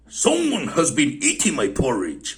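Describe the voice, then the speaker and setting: A man puts on a growling character voice at a high pitch and a moderate pace. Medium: read story.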